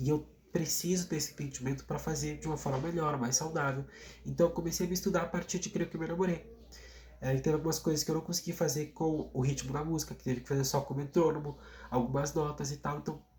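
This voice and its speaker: His voice fairly high in pitch, a man rushes along at a very fast pace, his intonation staying fairly even. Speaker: singer and YouTuber. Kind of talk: vlog monologue. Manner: casual, hesitant with repetitions.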